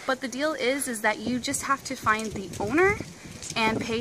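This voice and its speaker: Light noise sits behind a woman as she speaks. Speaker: travel vlogger. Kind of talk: casual vlog chat. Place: street. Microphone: phone near.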